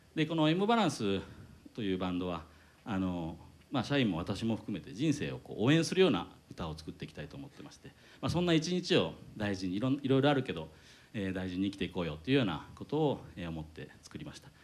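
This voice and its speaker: Very fast speech with very wide pitch swings and big swings in loudness. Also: man, fairly low pitch for a man. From Hiroshima, Japan. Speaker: company president and amateur band vocalist. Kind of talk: onstage talk at live show. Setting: stage with audience.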